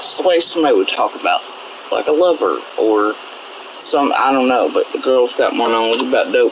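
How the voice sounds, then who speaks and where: A man talks at a moderate speed while noticeable noise sits in the background. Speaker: online commentator. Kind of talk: casual rant.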